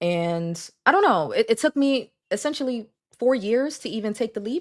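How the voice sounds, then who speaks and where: A woman's fairly high voice with very wide pitch swings, on a very clean recording with a silent background. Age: 20s. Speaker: content creator on weight loss. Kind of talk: interview on live stream. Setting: live stream. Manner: fast with stutters when nervous.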